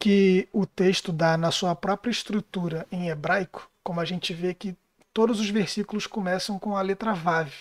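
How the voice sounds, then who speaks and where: A woman speaks at a fairly slow pace in a monotone, flat intonation. The recording is very clean with a silent background, dry and close with no echo. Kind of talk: casual chat. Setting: live stream. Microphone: too quiet.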